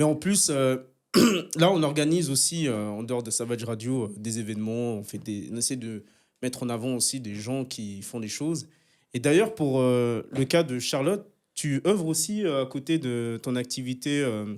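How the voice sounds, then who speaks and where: In a very clean recording with a silent background, a man speaks at a medium pitch and moderate pace with lively intonation, in an ordinary speaking voice. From French-speaking Switzerland. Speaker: podcast co-host. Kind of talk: casual chat. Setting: studio.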